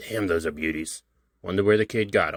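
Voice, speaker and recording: Using a put-on character voice, a man talks at a fairly quick pace with a raspy, very deep, low pitch, on a very clean recording with a silent background. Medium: read story. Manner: gruff, blunt.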